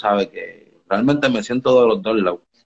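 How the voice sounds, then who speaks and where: This man talks at a moderate pace in a medium pitch, with a normal speaking voice. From Dominican Republic, raised partly in Puerto Rico. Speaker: reggaeton artist. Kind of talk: casual interview on live stream. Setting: home studio under renovation.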